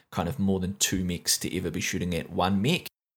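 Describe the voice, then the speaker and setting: Recorded very cleanly against a silent background, a man with a New Zealand accent speaks at a fairly low pitch. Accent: New Zealand (Kiwi). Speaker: esports commentator and tournament recap host. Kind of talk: recap commentary, monologue. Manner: fluent, informal, with frequent filler 'uh'.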